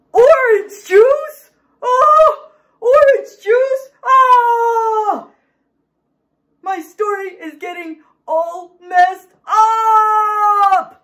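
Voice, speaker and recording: A cartoonish character voice shouting at an extremely high pitch and a very slow pace. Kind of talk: comic overacting for children. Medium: puppet show. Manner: dramatic, indignant, panicky.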